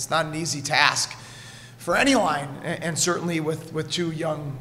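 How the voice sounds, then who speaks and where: A man talks at a moderate pace while light background noise sits underneath. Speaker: hockey head coach. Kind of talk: interview answer. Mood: pleased after a win. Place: hall. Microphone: podium.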